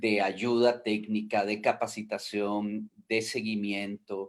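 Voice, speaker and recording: A man speaks in a flat, monotone way. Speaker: foster care and adoption worker. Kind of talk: online panel discussion. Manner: hesitant, many fillers.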